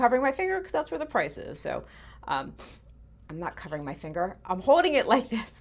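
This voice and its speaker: A woman's fairly quick speech with very wide pitch swings, on a very clean recording with a silent background. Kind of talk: auction preview show-and-tell. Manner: chatty, with many fillers; fast.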